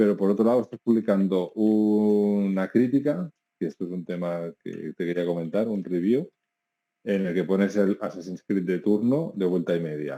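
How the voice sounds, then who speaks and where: A man's dark, mellow voice at a fairly low pitch, with ordinary pitch variation and a moderate pace, on a very clean recording with a silent background. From Catalonia, Spain. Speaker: founder of a video game website. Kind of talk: interview. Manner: hesitant, many fillers.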